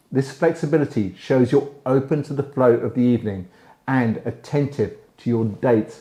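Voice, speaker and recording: The man speaks at medium pitch with ordinary pitch variation. His delivery is somewhat breathy, at a moderate pace. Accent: British. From British. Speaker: relationship advice host. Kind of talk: advice monologue to camera. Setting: indoors, library.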